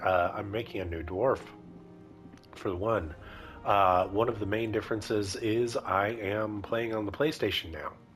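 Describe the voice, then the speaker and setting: Over music in the background, a man speaks at a moderate pace in a fairly low pitch with ordinary pitch variation. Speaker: gamer. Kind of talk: casual gameplay commentary.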